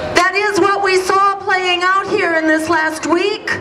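A woman speaks in a raised, projected voice. Noticeable background noise is present. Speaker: speaker. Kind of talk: rally speech. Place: street. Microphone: camera far.

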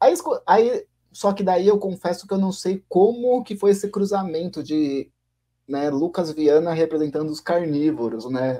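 Over a quiet background, a man with a dark, mellow tone speaks at a fairly slow pace with lively intonation. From Brazil. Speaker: podcast co-host. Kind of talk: casual chat. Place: home room. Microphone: video call.

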